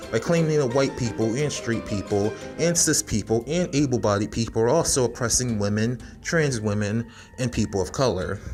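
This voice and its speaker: A man's voice sits at a medium pitch and moves at a fairly quick pace. His intonation is lively, with music playing behind him. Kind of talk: video essay presentation. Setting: poor-quality home microphone.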